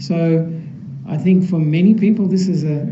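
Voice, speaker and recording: A man with an Australian accent at a moderate pace, ordinary pitch variation, noticeable background noise and audible room echo. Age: 60s. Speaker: Buddhist monk. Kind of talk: dharma talk. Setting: temple hall with audience. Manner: soft-spoken.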